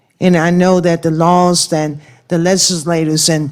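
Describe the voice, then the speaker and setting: Woman's fairly low voice with music in the background. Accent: American. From Washington, D.C. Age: 60s. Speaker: crime victim's family member testifying. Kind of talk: testimony. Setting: senate committee hearing room.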